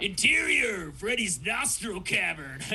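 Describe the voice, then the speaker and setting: A man's cartoonish character voice at a fairly slow pace, with clear background noise. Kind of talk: cartoon impression. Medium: game stream. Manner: slack, drawling, surfer-stoner.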